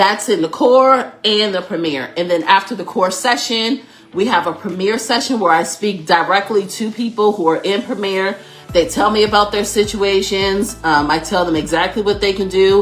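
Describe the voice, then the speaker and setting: Over noticeable background noise, a woman at a medium pitch speaks in an animated tone. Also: ordinary pitch variation, moderate pace. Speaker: workplace consultant and coach. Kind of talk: live stream Q&A. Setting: live stream.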